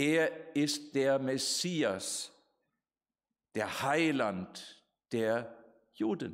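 Very slow male speech broken by long, frequent pauses. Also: ordinary pitch variation, quiet background. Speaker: preacher. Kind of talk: sermon. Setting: church. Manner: formal; earnest. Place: hall. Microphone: podium.

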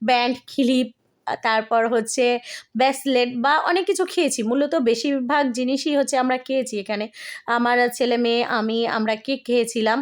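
Her loudness stays very even, and a woman's high pitch shows ordinary variation. The recording is very clean, with a silent background. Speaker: vlogger. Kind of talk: vlog narration.

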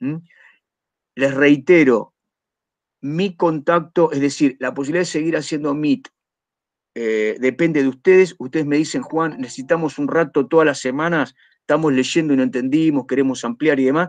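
The speech has a moderate pace and ordinary pitch variation, with long, frequent pauses. The background is quiet. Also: man, fairly high pitch for a man. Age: 50s. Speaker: teacher. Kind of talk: lecture. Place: home room. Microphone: webcam.

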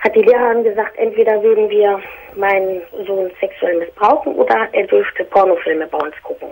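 A woman talks at a moderate pace with fairly even intonation over light background noise. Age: 30s. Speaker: caller. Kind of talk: personal phone-in conversation. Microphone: phone line.

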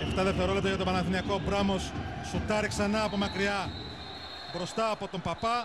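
Long, frequent pauses break up the speech over loud background noise. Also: moderate pace. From Greece. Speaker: basketball commentator. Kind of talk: live sports commentary. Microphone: headset.

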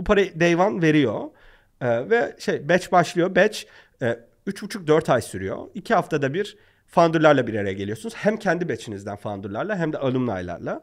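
Over a quiet background, a man with a fairly high pitch and vocal fry speaks at a moderate pace, his pitch swinging very widely. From Turkey. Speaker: startup founder; podcast guest. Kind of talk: interview. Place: studio. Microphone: studio mic.

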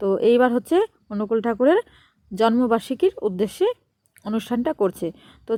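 This woman's voice sits fairly high. It carries a dark, mellow tone. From West Bengal, Nadia district. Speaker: vlogger. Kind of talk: travel vlog narration. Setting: outdoors. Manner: chatty.

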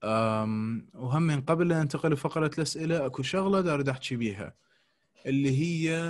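Somewhat breathy, a man speaks at a fairly high pitch with ordinary pitch variation. The background is quiet. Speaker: dental lecturer. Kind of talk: lecture.

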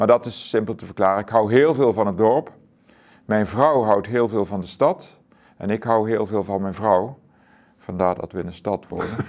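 Over a quiet background, a man with a fairly low pitch speaks at a moderate pace with ordinary pitch variation. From Zuidoost-Brabant, Netherlands; Netherlands. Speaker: author; interviewee. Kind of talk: interview. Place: studio.

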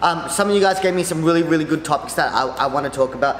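A man talks with fairly even intonation amid audible room echo and light background noise. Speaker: vlogger. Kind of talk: casual vlog chat. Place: office.

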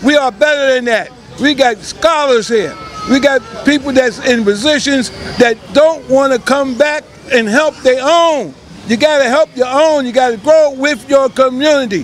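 A man speaks at an extremely high pitch with ordinary pitch variation and a moderate pace. The sound is dry with no echo, with light background noise. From New York. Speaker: local political candidate; candidate. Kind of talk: campaign pitch. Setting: outdoors on a street. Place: street. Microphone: handheld.

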